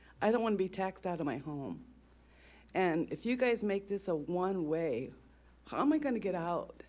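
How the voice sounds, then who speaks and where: Her pitch medium but swinging very widely, a woman speaks at a moderate pace with long, frequent pauses in a very clean recording with a silent background. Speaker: resident speaking at public comment. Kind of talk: public comment. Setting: council meeting at podium. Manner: shaky, close to tears.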